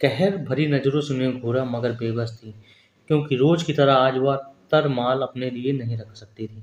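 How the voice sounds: What comes through is a natural reading voice.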